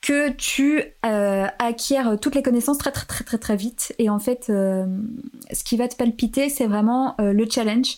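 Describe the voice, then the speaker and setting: Fairly slow, fairly high-pitched speech from a woman, with ordinary pitch variation. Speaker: podcaster. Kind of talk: casual chat. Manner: animated.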